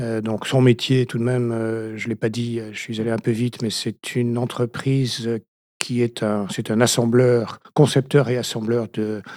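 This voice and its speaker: A man speaks slowly-ish, at a fairly slow pace, in a medium pitch with monotone, flat intonation. The recording is very clean with a silent background and has a dry, close sound with no echo. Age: 60s. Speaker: retired business owner. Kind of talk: interview. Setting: studio. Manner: halting.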